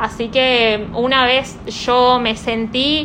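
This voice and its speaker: There's audible room echo and noticeable background noise. A woman speaks with a fairly high pitch. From Argentina, Neuquén. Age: 20s. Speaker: young party activist. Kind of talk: interview.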